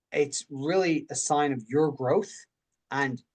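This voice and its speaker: This man speaks with an Irish accent. His pitch sits fairly high. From Ireland. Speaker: mindset coach. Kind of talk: coaching talk in group video session. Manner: halting, many repetitions and false starts.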